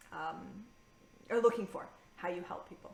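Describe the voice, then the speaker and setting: A woman of medium pitch in an animated tone, with audible room echo and noticeable background noise. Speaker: freelance business coach. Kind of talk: recorded live masterclass. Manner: fast.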